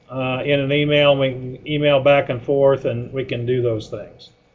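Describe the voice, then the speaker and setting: In a room with audible echo, a man with an American accent talks at a moderate pace in a fairly high, monotone and flat voice. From Indiana. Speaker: animal science professor. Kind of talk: webinar lecture. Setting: webinar.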